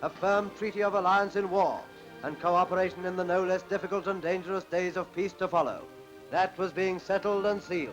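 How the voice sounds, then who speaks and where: With music in the background, a man talks at a fairly quick pace in a high pitch with ordinary pitch variation. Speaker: newsreel narrator. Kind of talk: newsreel narration.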